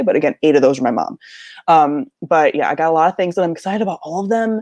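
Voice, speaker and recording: A Midwestern American accent at a fairly quick pace over a quiet background. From US Midwest. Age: 30s. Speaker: book youtuber. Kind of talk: casual livestream chat. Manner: casual, many filler words.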